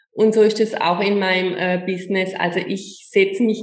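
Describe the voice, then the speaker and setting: A woman speaks at a fairly slow pace with a medium pitch and fairly even intonation. Room echo is audible. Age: 50s. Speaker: image coach. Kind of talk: interview. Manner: halting.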